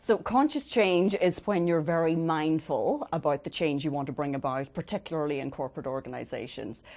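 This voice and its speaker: With an Irish accent, a woman talks at a fairly quick pace with hardly any pauses and lively intonation. Her very deep, low voice comes through on a very clean recording with a silent background. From Ireland. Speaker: change coach. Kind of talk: interview. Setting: studio.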